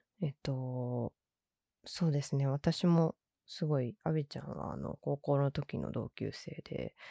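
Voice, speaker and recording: In a very clean recording with a silent background, a woman speaks at a fairly slow pace in a very deep, low voice with a dark, mellow tone and ordinary pitch variation, the sound dry and close with no echo. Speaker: podcast host. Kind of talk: casual solo podcast talk.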